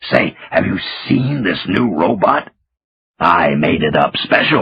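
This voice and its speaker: A man puts on a character voice that is raspy and very deep and low in pitch. He delivers it at a fairly slow pace. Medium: read story. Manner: excitable, stammers when angry.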